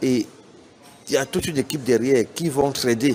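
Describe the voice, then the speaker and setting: A man with a Cameroonian accent speaks at a moderate pace with ordinary pitch variation, amid noticeable background noise. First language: Bassa (speaking French). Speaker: business executive. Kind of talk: interview statement. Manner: hesitant with fillers.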